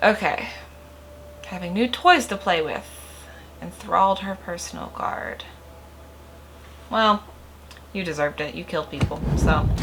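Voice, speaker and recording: A woman talks at a fairly slow pace, with big swings in loudness. Noticeable background noise runs behind her. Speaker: gaming youtuber. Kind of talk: let's play commentary. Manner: casual, thinking aloud; reading game text aloud.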